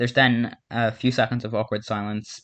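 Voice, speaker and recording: A man's medium-pitched voice in a monotone, flat intonation against a quiet background. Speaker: fan commentator recapping a cartoon fan story. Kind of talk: casual storytelling narration. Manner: halting, many fillers and restarts.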